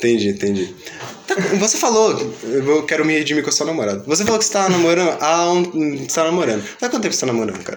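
A man talks at a very fast pace with very wide pitch swings. Noticeable background noise and audible room echo come through. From Rio de Janeiro, Realengo. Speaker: podcast host. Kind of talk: casual chat. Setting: studio.

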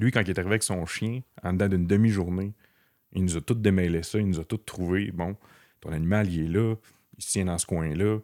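A man with a very deep, low voice and a Quebec accent speaks at a fairly quick pace, his pitch varying in an ordinary way, with long, frequent pauses. The recording is very clean and dry, close and without echo, over a silent background. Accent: Québécois French. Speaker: blood-tracking dog handler. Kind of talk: casual interview.

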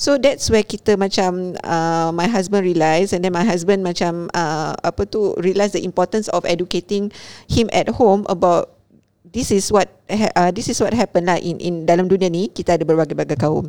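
On a very clean recording with a silent background, a woman speaks at medium pitch in a dark, mellow tone with fairly even intonation. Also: moderate pace, dry, close sound with no echo. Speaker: podcast co-host. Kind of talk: casual chat.

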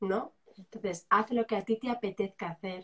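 With fairly even intonation, a woman talks in a somewhat breathy voice. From Spain, Zaragoza (Aragon). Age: 40s. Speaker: journalist, coach and writer. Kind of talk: live interview.

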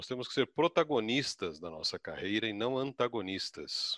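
In a dry, close recording with no echo, a man with a medium-pitched, bright, sharp voice and vocal fry speaks fairly slowly with lively intonation. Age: 60s. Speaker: career consultant. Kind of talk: live webinar panel discussion.

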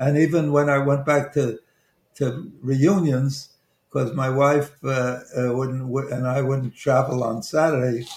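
A man with a Brooklyn accent speaks at a very slow pace in a somewhat breathy voice. His medium pitch keeps a fairly even intonation. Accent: Brooklyn New York, noticeable. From Brooklyn, New York. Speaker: investment banker and author. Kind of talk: radio talk show, life story interview. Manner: halting, hesitant, with fillers and restarts; humorous, self-deprecating.

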